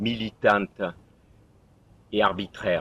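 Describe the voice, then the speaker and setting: A man's bright, sharp tone at a medium pitch. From southern France, Provence. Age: 60s. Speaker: municipal election candidate. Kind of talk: campaign self-presentation. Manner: halting, with hesitations.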